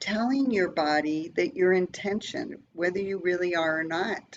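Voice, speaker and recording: Here is an ordinary speaking voice from a woman at medium pitch. She talks at a fairly slow pace. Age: 60s. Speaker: presenter and massage technician. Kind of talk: presentation with guided breathing exercise. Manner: calm, instructive.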